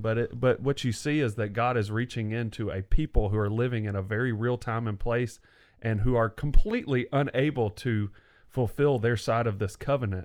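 A man speaks in a plain, everyday voice at a medium pitch, with fairly even intonation. The pace is moderate and the background is quiet. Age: 30s. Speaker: podcast co-host discussing the Bible. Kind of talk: casual chat.

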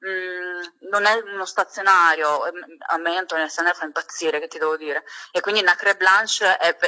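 A woman's bright, sharp tone with big swings in loudness, dry and close with no echo. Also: medium pitch for a woman, moderate pace. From Sicily, Catania. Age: 20s. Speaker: beauty and fragrance content creator. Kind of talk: casual chat. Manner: animated.

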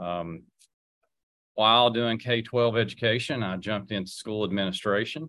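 In a very clean recording with a silent background, a man speaks with an Appalachian accent. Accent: Appalachian Southern US. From Southwest Virginia, Wise County. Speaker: political candidate, former school administrator. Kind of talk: radio interview.

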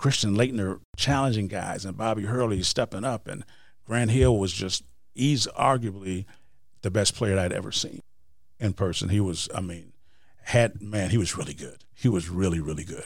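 A man with an American accent speaks in a plain, everyday voice, his fairly low pitch moving with ordinary variation at a moderate pace. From Wisconsin. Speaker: motivational speaker and author. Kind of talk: interview.

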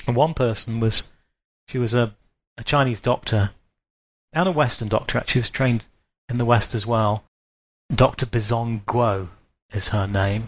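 A man talks at a medium pitch with ordinary pitch variation, sounding somewhat breathy and leaving long, frequent pauses. The recording is very clean, with a silent background. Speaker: writer and wisdom teacher. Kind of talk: casual chat. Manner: fast.

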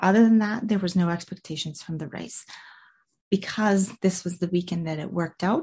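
Somewhat breathy, a woman speaks at a fairly low pitch with ordinary pitch variation. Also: quiet background. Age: 40s. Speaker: podcast host and life coach. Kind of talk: motivational solo podcast talk. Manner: casual, conversational with fillers.

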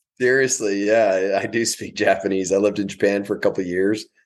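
At a fairly low pitch, a man speaks at a fairly quick pace with fairly even intonation, against a quiet background. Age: 40s. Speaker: business coach. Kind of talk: casual interview.

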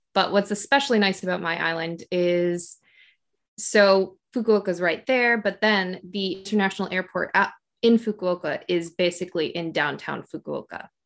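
A moderate pace, fairly even intonation and an American accent, over a quiet background. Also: woman, medium pitch for a woman. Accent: general American, slight Canadian-like. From Michigan, US. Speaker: podcaster, teacher in Japan. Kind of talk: interview, casual chat.

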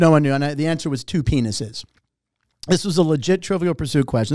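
A man with an American accent at a very fast pace, in a very clean recording with a silent background. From US, Pittsburgh. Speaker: game show host. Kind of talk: casual chat.

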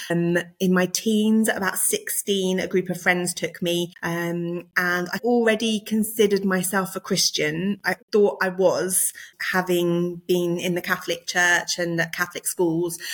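At a medium pitch and fairly slow pace, a woman speaks with monotone, flat intonation. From Surrey, England. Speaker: former solicitor, preacher and author. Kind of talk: casual interview chat.

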